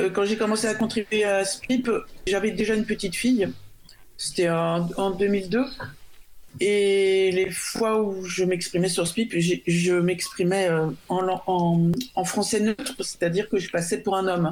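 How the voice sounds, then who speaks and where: In a normal speaking voice, a woman speaks fairly slowly at a medium pitch, with fairly even intonation and very even loudness. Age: 50s. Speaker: freelance software developer. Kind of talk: radio panel discussion. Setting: remote call into radio studio.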